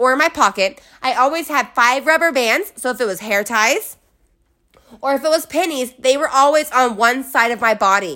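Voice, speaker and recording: A raised, projected voice with an animated, bright, sharp tone and lively intonation rings out in a very clean recording over a silent background. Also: woman, high pitch for a woman, moderate pace. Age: 20s. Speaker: podcast host. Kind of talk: motivational solo monologue.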